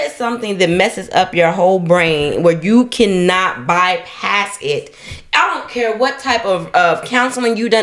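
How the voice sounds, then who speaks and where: The intonation is lively and the pace moderate. Noticeable background noise sits behind the voice. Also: woman. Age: 30s. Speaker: podcast co-host. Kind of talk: casual chat.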